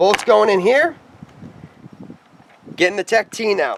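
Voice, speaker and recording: A loud, high-pitched man at a fairly slow pace, with noticeable background noise. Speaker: paintball equipment reviewer. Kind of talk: tutorial.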